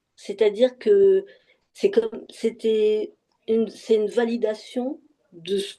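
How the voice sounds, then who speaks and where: The woman's tone is dark and mellow, at a fairly high pitch with ordinary pitch variation. She speaks very slowly. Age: 60s. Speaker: session participant giving testimony. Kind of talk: casual conversation. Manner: halting, many repetitions and fillers.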